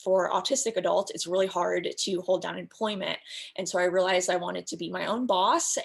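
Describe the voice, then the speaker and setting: A woman speaks with an American accent at a medium pitch. Vocal fry runs through her voice, with ordinary pitch variation. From US West Coast, San Diego. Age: 20s. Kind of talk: panel discussion. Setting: video call.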